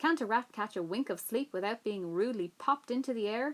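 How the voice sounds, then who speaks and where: A woman puts on a growling character voice at a fairly high pitch. She speaks at a fairly quick pace. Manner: growling, disgusted.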